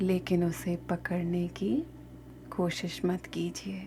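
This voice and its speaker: Soft-spoken, a woman talks over music in the background. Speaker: meditation guide. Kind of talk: guided meditation. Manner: slow.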